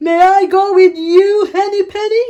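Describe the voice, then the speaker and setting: A put-on character voice, squeaky and at an extremely high pitch, speaks at a moderate pace. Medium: read story.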